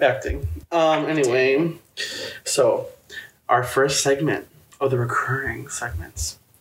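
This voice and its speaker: At a fairly slow pace, a man with an American accent speaks with long, frequent pauses. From Chicago suburbs, US Midwest. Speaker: podcast co-host. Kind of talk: casual chat.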